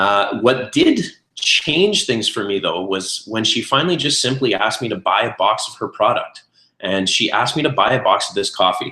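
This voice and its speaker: The speaker uses a moderate pace and talks with a Canadian accent. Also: man. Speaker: network marketing consultant and restaurateur. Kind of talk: webinar presentation. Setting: online webinar call. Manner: many filler words (uh, um).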